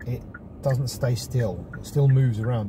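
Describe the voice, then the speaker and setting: Noticeable background noise surrounds a man of medium pitch. He speaks at a moderate pace with ordinary pitch variation. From Portugal. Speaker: car reviewer. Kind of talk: casual vlog review. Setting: in a car. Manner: casual and animated.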